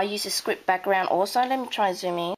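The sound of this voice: A woman speaks with an Australian accent in a croaky, medium-pitched voice. Her pitch varies in an ordinary way.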